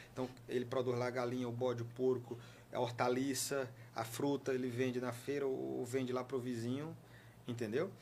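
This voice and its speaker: Pitched at a medium level, this man speaks in a normal speaking voice. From Piauí, Brazil. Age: 30s. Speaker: regional government official and politician. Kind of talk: interview.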